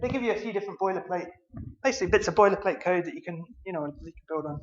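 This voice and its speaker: Talking at a very fast pace with a Scottish accent, a man has a high pitch and ordinary pitch variation. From Scotland. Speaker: conference speaker, software developer. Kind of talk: conference talk.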